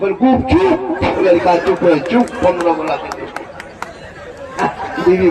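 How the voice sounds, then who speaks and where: The recording has audible room echo. Crowd noise fills the background. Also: man. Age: 50s. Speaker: Islamic preacher. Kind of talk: religious speech at a gathering. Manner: animated.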